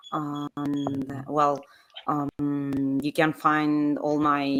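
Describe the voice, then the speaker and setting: A woman speaks with an Argentine accent. Her pitch is very deep and low. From Argentina. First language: Spanish. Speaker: sommelier and game designer. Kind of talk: casual chat.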